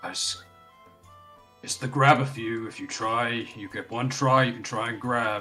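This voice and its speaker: A man's put-on character voice at medium pitch, monotone and flat, moderate in pace, with long, frequent pauses, big swings in loudness and faint music in the background. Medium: actual play. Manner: brisk.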